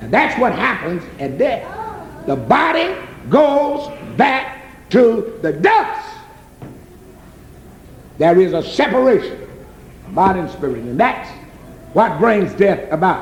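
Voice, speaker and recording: With an American accent, a man speaks at an extremely high pitch and a very slow pace, his voice swinging very widely in pitch amid long, frequent pauses and noticeable background noise. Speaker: gospel preacher. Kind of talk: gospel sermon.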